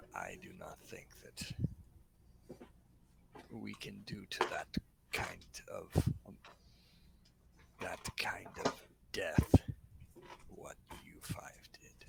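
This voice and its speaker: A man whispers in a put-on character voice. He goes at a very slow pace with long, frequent pauses. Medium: actual play. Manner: wordy, formal phrasing.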